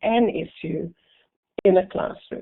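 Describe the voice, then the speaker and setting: Her medium-pitched voice, with ordinary pitch variation, moves along very slowly as the woman talks. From South Africa. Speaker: professor. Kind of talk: lecture. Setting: web seminar. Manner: hesitant, many fillers.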